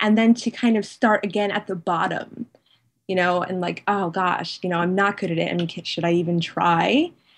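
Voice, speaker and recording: At a moderate pace, a woman with an American accent and an unremarkable speaking voice talks at a medium pitch, her intonation fairly even. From United States. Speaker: blogger. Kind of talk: interview.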